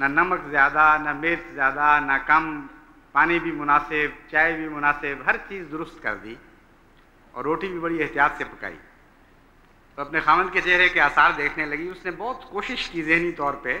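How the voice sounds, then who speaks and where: A man talks with ordinary pitch variation and big swings in loudness. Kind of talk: sermon. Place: church.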